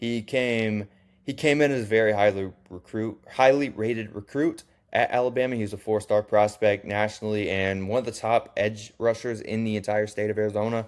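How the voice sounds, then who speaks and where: On a very clean recording with a silent background, a man with a fairly low pitch talks at a fairly quick pace in a plain, everyday voice, keeping his intonation fairly even. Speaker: college football YouTuber. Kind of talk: casual sports commentary video. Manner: casual, with fillers and restarts.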